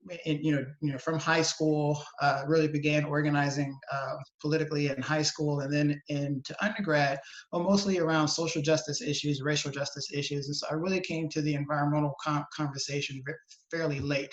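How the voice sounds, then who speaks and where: A monotone, flat delivery in an American accent comes through over noticeable background noise. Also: man, fairly high pitch for a man, fairly quick pace. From US South, New Orleans, Louisiana. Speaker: environmental policy advocate. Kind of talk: webinar interview. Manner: halting, many fillers and repetitions.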